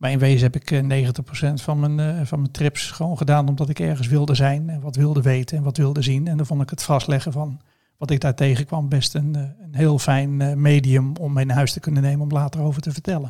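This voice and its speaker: On a very clean recording with a silent background, a man talks at a fairly quick pace in a fairly high pitch. His tone is dark, mellow and somewhat breathy, and his intonation is monotone and flat. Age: 50s. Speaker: entrepreneur and photographer. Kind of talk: casual interview.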